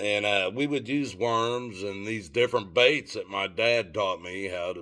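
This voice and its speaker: With a Southern US accent, a man speaks at a fairly slow pace and fairly low pitch, his bright, sharp tone showing ordinary pitch variation on a very clean recording with a silent background. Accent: Southern US accent, noticeable. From Tennessee. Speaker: vlogger. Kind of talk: casual storytelling monologue. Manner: halting, with fillers.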